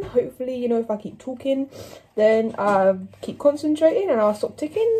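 Light background noise runs under a woman's voice. Her pitch is high and swings very widely. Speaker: home baker vlogger. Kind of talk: casual vlog chat. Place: kitchen. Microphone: phone near.

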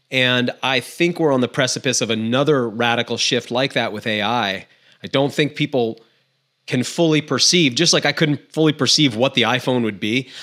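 Bright, sharp tone from a man at a moderate pace against a quiet background. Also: ordinary pitch variation. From Maine. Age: 40s. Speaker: outdoor guide and podcaster; podcast guest. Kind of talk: casual interview chat. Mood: reflective, earnest. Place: home room. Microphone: studio mic.

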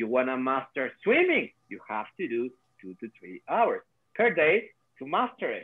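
A man with a Latin American accent, fairly slow pace, big swings in loudness and a quiet background. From Ecuador. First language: Spanish. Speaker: quantum coach. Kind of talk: casual video-call conversation. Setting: video call. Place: home room. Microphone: video call.

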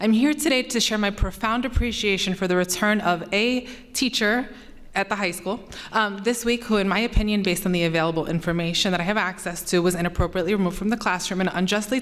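A woman at medium pitch races along at a very fast pace with ordinary pitch variation. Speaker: parent speaking at public comment. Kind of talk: prepared public comment. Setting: school board meeting.

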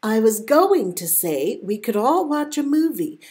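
Big pitch swings mark this fairly slow delivery with a slightly mellow tone. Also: woman, fairly high pitch for a woman.

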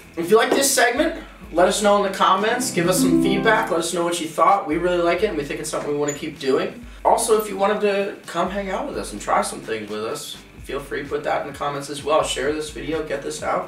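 Over faint background music and audible room echo, a man talks very fast at a high pitch with hardly any pauses. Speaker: show host. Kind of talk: casual web show outro. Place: studio.

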